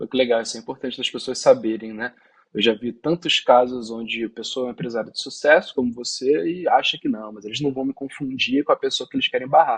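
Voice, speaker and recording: The talk runs at a fairly quick pace with hardly any pauses and big swings in loudness. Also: man. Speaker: visa consultant. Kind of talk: interview.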